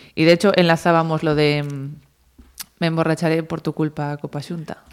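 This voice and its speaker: A woman's very deep, low voice at a moderate pace, in a very clean recording with a silent background. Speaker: futsal goalkeeper. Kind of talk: interview.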